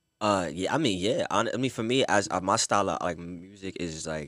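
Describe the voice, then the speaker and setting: In a very clean recording with a silent background, a man with a New York accent and a very deep, low pitch talks at a fairly quick pace with hardly any pauses and ordinary pitch variation. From Brooklyn, New York. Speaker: singer and model. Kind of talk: casual chat. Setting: studio.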